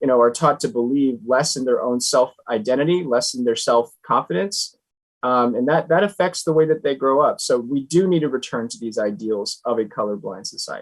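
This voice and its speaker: A man with an unremarkable speaking voice, medium pitch, lively intonation and a fairly quick pace with hardly any pauses. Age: young. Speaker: nonprofit founder and author. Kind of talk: interview.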